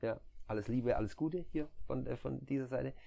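In a quiet setting, a man talks at a moderate pace and medium pitch, his tone relaxed, dark and mellow. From southern Germany, near Stuttgart. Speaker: nurse turned recruiter. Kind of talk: casual chat.

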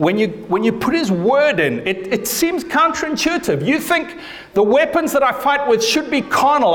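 A man is speaking, and noticeable background noise can be heard along with him. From Africa. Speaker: pastor. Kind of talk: sermon. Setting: church.

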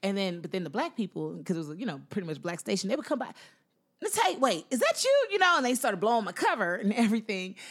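A woman with an American accent, medium pitch, very wide pitch swings and a very fast pace. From Houston, Texas (Nigerian parents). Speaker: comedian. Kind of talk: interview; stand-up. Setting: stage with audience. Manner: animated.

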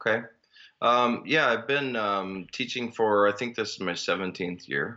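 Slowish in pace, a man talks with an Upper Midwest accent. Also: medium pitch for a man, ordinary pitch variation. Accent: Upper Midwest American. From Minnesota. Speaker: elementary school teacher. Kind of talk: casual chat.

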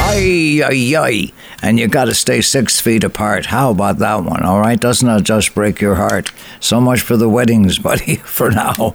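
Noticeable background noise sits behind a man speaking at a moderate pace. His pitch is medium, with ordinary variation and very even loudness. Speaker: radio host. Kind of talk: radio show hosting, casual and warm. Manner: warm, upbeat, chatty.

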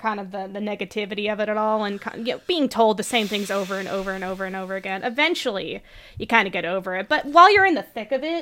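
At a fast pace, a woman talks with a medium pitch and a fairly bright tone.

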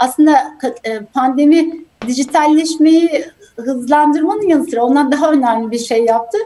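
A high-pitched woman at a moderate pace, with ordinary pitch variation. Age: 40s. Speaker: healthcare executive. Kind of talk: interview.

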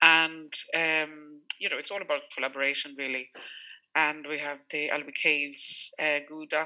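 A woman's very deep, low voice in a Swedish accent, monotone and flat, at a moderate pace. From Sweden. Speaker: food business founder. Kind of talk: radio interview. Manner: halting, with repeated words and fillers.

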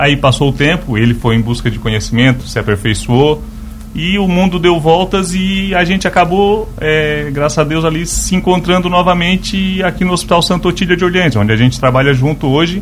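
Fairly quick speech with lively intonation over noticeable background noise. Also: man, fairly high pitch for a man, hardly any pauses. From Lauro Müller, Santa Catarina, southern Brazil. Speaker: nurse and medical supply business owner. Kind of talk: radio interview. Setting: radio studio.

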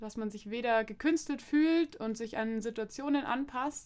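An ordinary speaking voice, its pitch varying in an ordinary way. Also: woman. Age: 20s. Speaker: social pedagogue and master's student. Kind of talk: casual chat.

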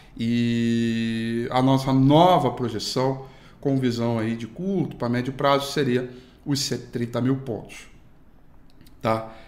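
Audible room echo surrounds a man speaking at a very slow pace. His medium pitch shows ordinary pitch variation. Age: 30s. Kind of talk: daily market news broadcast. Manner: casual, filler-heavy.

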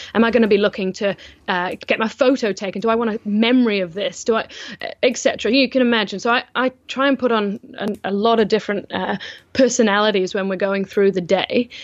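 A woman's plain, everyday voice, fairly high in pitch, with fairly even intonation at a fairly quick pace. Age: 20s. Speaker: event organizer. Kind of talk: casual interview.

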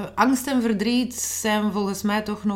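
A woman's voice with audible room echo. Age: 40s. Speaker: author. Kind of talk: interview. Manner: halting.

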